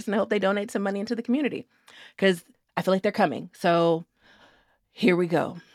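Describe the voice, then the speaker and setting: A woman speaks at a very fast pace in a raspy, put-on character voice of medium pitch. Long pauses come often between her words. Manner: disappointed, resigned.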